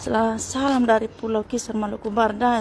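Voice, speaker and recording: Against noticeable background noise, a woman speaks at a moderate pace in a fairly high pitch. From Sabu island, East Nusa Tenggara, Indonesia. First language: Sabu (speaking Indonesian). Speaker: live streamer. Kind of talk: live stream chat with viewers.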